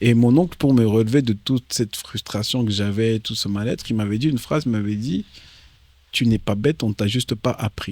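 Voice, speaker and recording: A man speaks at a moderate pace in a normal speaking voice, with big swings in loudness. The recording is very clean with a silent background, dry and close with no echo. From DR Congo, moved to France at age 10. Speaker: comedian and actor. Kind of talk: interview. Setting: in Kinshasa. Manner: casual, slangy.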